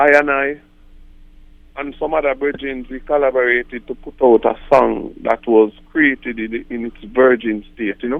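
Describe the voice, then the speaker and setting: A man with a Jamaican accent, medium pitch and fairly even intonation. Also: moderate pace. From Jamaica, Kingston. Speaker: reggae artist. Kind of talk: interview.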